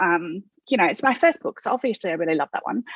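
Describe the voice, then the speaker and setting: An Australian accent from a woman, with a dry, close sound and no echo. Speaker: author. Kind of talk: interview. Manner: hesitant, many fillers.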